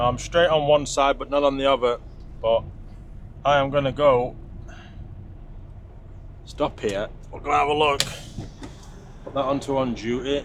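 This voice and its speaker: A man with a British accent and a fairly high pitch, in monotone, flat intonation at a moderate pace with long, frequent pauses, over noticeable background noise. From UK. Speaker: truck driver. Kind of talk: casual talk to camera.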